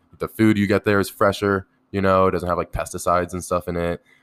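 Recorded very cleanly against a silent background with a dry, close sound and no echo, a man with an American accent speaks very fast in a very deep, low voice. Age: 20s. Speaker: professional poker player. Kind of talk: casual chat. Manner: halting, many fillers.

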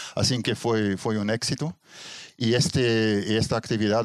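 The man speaks at a fairly low pitch with fairly even intonation. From Belgium (Ghent, Flemish-speaking north). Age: 60s. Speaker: astrophotographer, retired engineer. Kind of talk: interview. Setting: home observatory. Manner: halting, many fillers.

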